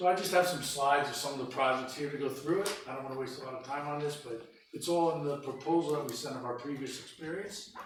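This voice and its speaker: Delivered at a very fast pace with hardly any pauses, the speech has fairly even intonation over noticeable background noise. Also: man, fairly high pitch for a man. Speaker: park planning consultant. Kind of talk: business presentation. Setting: council meeting room.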